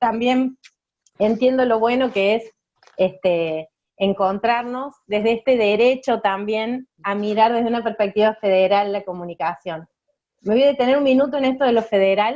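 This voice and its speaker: With a strong Córdoba accent, a woman speaks at a moderate pace in a fairly high pitch, her tone dark and mellow and her pitch varying in an ordinary way. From Argentina, Córdoba. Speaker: communication rights activist, speaker. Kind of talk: talk to students.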